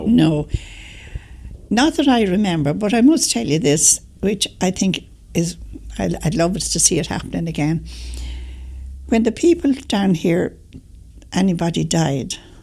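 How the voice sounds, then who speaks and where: A woman with a Dublin accent at a fairly slow pace, broken by long, frequent pauses. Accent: Dublin Irish. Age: 80s+. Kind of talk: interview answer.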